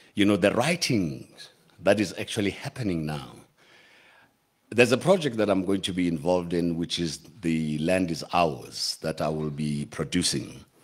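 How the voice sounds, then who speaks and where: A man with a very deep, low pitch speaks with lively intonation. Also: moderate pace. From South Africa, Atteridgeville, Pretoria. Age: 60s. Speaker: film and TV producer. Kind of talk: speech at a ceremony. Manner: halting, frequent self-corrections.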